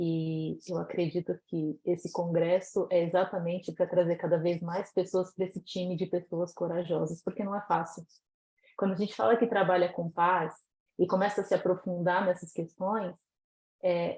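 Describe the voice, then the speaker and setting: An unremarkable speaking voice, a woman at medium pitch and moderate pace. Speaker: educator and author. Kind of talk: conference talk.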